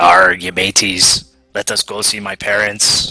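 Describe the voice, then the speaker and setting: A man uses a raspy, put-on character voice at a fairly slow pace. Faint music plays in the background. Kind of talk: jokey, played for laughs.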